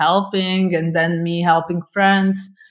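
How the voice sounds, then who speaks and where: The speaker has a Slovak accent. The pace is fairly slow. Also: woman. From Slovakia, Bratislava. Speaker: photographer. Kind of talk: interview.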